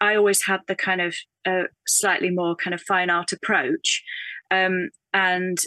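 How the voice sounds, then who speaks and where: A woman speaks in a northern English accent with a fairly low pitch, a bright, sharp tone and monotone, flat intonation. The sound is dry and close with no echo, over a quiet background. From northern England. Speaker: textile artist. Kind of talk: casual interview. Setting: video call. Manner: thoughtful, hesitant with fillers.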